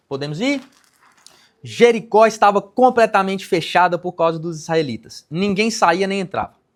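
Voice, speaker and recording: The pitch varies in an ordinary way. The delivery keeps a moderate pace. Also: man, high pitch for a man. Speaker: pastor. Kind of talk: sermon.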